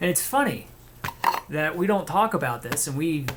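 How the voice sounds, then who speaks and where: There is audible room echo as a man talks at a very fast pace. His voice is somewhat breathy. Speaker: video essayist. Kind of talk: reading aloud from his own paper with commentary. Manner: halting, with self-corrections.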